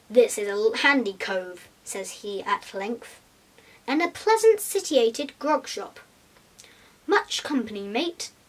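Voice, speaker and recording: Putting on a gruff character voice, a woman speaks at a high pitch with very wide pitch swings. Her pace is fairly slow. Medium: read story. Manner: rough, gruff, commanding.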